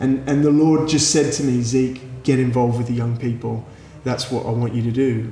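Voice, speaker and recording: Amid audible room echo, a man at a medium pitch speaks at a fairly quick pace in a monotone, flat way. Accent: Australian. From Australia, Sydney. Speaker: youth pastor. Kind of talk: interview. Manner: halting.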